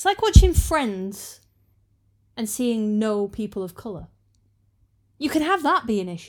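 With very wide pitch swings, a woman talks at a fairly slow pace, leaving long, frequent pauses in a very clean recording with a silent background. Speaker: co-host, wife of the other host. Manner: dry, teasing.

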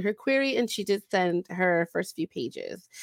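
Recorded very cleanly against a silent background, with a dry, close sound and no echo, a woman speaks at a moderate pace with ordinary pitch variation. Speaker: podcast host, aspiring novelist. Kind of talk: casual chat.

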